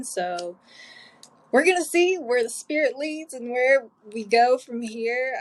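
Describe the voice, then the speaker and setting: With an unremarkable speaking voice, a woman talks at a fairly slow pace and uses lively intonation. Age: 20s. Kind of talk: solo podcast self-interview. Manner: casual, chatty, upbeat.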